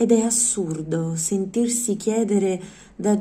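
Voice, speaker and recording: A woman speaks at a fairly slow pace in a dark, mellow tone that is somewhat breathy. Her intonation stays fairly even. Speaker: poetry reader. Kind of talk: poetry reading aloud. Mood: calm, expressive, intimate. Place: home room. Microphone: phone near.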